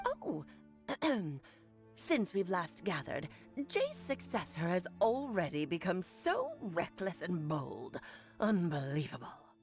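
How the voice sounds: Clear music plays behind a woman doing a put-on character voice at a fairly low pitch. She moves at a fairly slow pace with long, frequent pauses.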